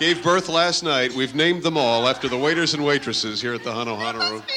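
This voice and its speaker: A man's fairly quick speech against noticeable background noise. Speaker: radio host. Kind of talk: radio show banter.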